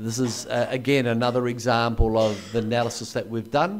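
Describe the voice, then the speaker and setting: Audible room echo surrounds a man of medium pitch speaking with a New Zealand accent. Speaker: anthropologist and historian. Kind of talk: lecture. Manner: hesitant with fillers.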